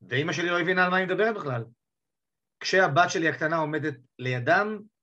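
Here a man with an unremarkable speaking voice talks at a moderate pace with ordinary pitch variation. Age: 50s. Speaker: divorced father telling his coming-out story. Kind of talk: interview testimony.

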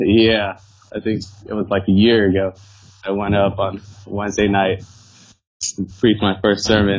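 A man with an American accent speaks at a fairly low pitch and moderate pace. His intonation is monotone and flat, broken by long, frequent pauses. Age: 20s. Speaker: former band member, church volunteer. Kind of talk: casual chat. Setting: remote call.

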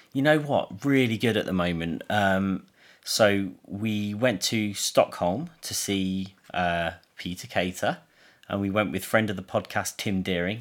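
On a very clean recording with a silent background, speech in an English accent comes at a fairly slow pace with ordinary pitch variation. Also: man, fairly low pitch for a man. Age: 30s. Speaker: film podcast co-host. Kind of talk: casual chat. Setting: at home. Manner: lethargic.

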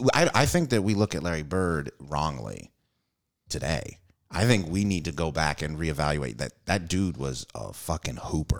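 A man's very deep, low voice with vocal fry, lively intonation, and a moderate pace. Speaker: comedian. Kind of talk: casual chat.

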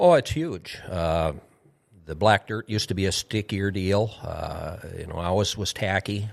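A man with an Upper Midwest accent talks at a moderate pace in a fairly low voice, with big swings in loudness. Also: ordinary pitch variation, very clean recording, silent background. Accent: Upper Midwest American. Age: 60s. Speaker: retired racing driver. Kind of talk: casual chat. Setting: studio.

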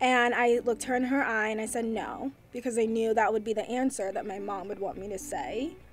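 With an American accent, a woman talks at a fairly quick pace with hardly any pauses, her fairly high pitch showing ordinary variation against noticeable background noise. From New York suburbs. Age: 20s. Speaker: communications coordinator. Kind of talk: casual chat.

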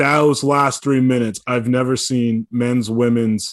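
On a very clean recording with a silent background, a man with an unremarkable speaking voice talks at a medium pitch and moderate pace, his intonation fairly even. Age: 20s. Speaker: podcast co-host. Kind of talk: casual podcast chat about college basketball.

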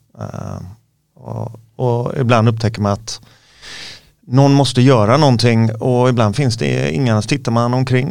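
This man has an ordinary speaking voice at medium pitch. He keeps a moderate pace with ordinary pitch variation. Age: 50s. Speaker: MMA coach and former fighter. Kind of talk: casual interview chat. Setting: studio.

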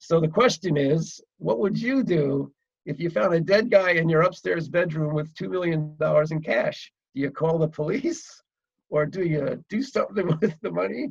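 Here a man talks in an American accent at a moderate pace. His pitch is high, and his intonation is lively. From New Jersey, Woodbridge. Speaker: screenwriter and novelist. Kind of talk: interview.

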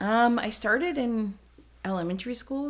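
A woman with an American accent, an ordinary speaking voice, lively intonation and a fairly slow pace. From Ohio and New Jersey, US. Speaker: former gymnast and college rower. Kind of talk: casual chat.

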